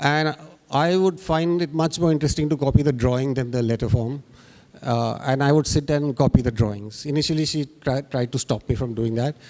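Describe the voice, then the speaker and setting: A man with a Bengali accent talks at a fairly quick pace, his pitch fairly high with ordinary variation. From India, Bengali family, moved around (Rajasthan). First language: Bangla. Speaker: graphic artist. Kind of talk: panel discussion. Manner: halting, many fillers.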